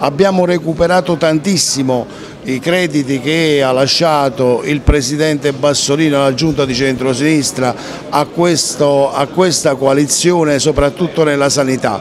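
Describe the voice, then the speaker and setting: Fairly slow, fairly evenly intoned male speech amid noticeable background noise. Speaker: regional politician. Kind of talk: interview answer.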